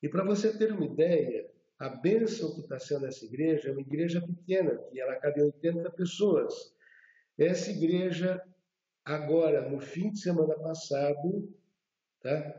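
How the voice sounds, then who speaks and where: A man speaks at a high pitch and a fairly slow pace. His speech has long, frequent pauses. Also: ordinary pitch variation. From Brazil, São Paulo. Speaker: former fashion designer sharing conversion story. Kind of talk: testimony.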